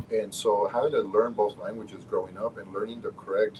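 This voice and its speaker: A man with a Spanish accent at a moderate pace. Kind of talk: casual chat.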